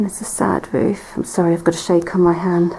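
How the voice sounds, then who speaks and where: A woman speaks quietly at a fairly quick pace in a medium, monotone voice with flat intonation, with noticeable background noise behind her. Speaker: urban explorer vlogger. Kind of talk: exploration walkthrough narration. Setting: inside and around an abandoned church. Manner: quiet, hushed.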